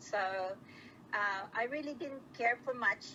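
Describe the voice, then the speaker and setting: The pitch variation is ordinary. Noticeable background noise can be heard. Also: woman. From Australia (Sydney), migrated from Philippines at 13. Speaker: interviewee, ex-partner of scammer. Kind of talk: interview.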